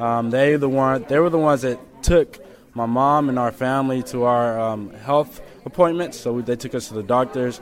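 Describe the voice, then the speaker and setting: A man with a medium pitch and ordinary pitch variation speaks at a moderate pace, with noticeable background noise behind him. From Memphis, Tennessee. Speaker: student, naturalized refugee. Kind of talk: interview.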